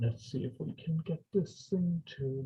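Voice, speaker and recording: Speaking very slowly with an Irish accent, a man has a dark, mellow, somewhat breathy tone in a dry, close recording with no echo. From Ireland. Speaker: professor and engineering lab director. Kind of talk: lecture.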